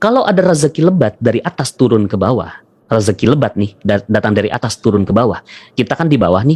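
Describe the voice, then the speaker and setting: Somewhat breathy, a man rushes at a very fast pace with very wide pitch swings, in dry, close sound with no echo. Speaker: motivational religious speaker. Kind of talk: motivational seminar talk. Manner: repetitive, call-and-response. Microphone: voice reportedly quiet for some listeners.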